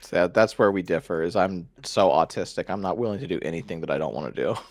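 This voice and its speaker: Over a quiet background, a man talks at a very fast pace with a very deep, low pitch, ordinary pitch variation and vocal fry. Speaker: card game youtuber, podcast guest. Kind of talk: casual chat.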